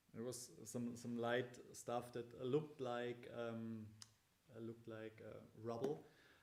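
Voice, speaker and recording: In a non-native accent, a man talks very slowly at a medium pitch, his intonation monotone and flat. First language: not English. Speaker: band member. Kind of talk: casual chat. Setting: livestream. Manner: halting.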